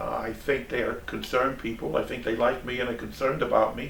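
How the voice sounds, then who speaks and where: With a New York accent, a man speaks at a moderate pace amid noticeable background noise and audible room echo. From New York City, Brooklyn. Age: 70s. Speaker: traveling auditor. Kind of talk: interview. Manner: halting, repeats words.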